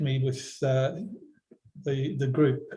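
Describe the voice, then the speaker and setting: At a fairly slow pace, a man with an Australian accent speaks at medium pitch in a somewhat breathy, dark, mellow tone. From Western Australia, Perth. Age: 60s. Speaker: environmental philosopher. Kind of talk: talk to online workshop. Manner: halting, many fillers.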